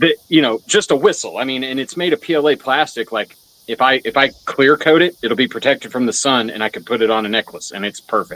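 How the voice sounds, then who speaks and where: A man talks loudly at a very fast pace, with hardly any pauses and a bright, sharp tone. The sound is dry and close, with no echo. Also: medium pitch for a man, ordinary pitch variation. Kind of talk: casual chat.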